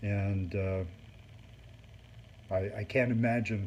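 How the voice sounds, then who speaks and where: Somewhat breathy and fairly low in pitch, a man's voice comes through. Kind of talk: product review talk to camera.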